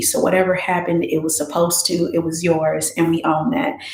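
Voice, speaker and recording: A soft-spoken woman talks at a moderate pace with a fairly low pitch and ordinary pitch variation. Audible room echo surrounds her voice. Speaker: meditation session host. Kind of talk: guided reflection after meditation. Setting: YouTube livestream. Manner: soft-spoken, low.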